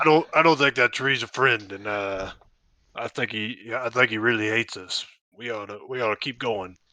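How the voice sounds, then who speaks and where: A raspy, put-on character voice moves at a moderate pace with ordinary pitch variation. The background is quiet. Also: man, medium pitch for a man. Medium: actual play. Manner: cautious.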